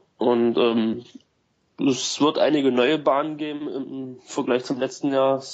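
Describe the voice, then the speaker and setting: The speaker is a man with a medium pitch. He talks very slowly in a monotone, flat intonation. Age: 20s. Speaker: cross golf club founder. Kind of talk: casual chat.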